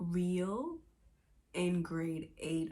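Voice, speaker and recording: Soft-spoken, a woman talks at a fairly low pitch with fairly even intonation. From Bahamas, Nassau. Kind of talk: testimony.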